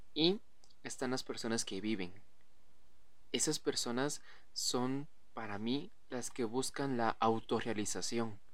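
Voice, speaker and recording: Speaking at a fairly slow pace, a man with a medium pitch and ordinary pitch variation is heard with audible room echo. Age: 20s. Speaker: podcast host. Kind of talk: casual monologue.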